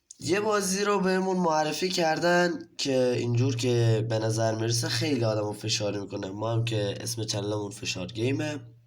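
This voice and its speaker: A man of medium pitch speaks in an animated tone with lively intonation at a moderate pace. Audible room echo surrounds his voice. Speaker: gaming youtuber. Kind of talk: gameplay commentary.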